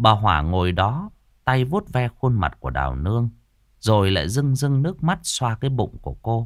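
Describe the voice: The speaker is doing plain reading aloud with lively intonation.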